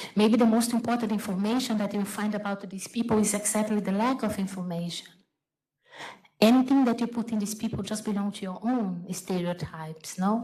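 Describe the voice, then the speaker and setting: The speaker has a Brazilian accent. The intonation stays fairly even. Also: woman, fairly high pitch for a woman, fairly quick pace. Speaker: photographer and artist. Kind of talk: panel talk. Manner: halting.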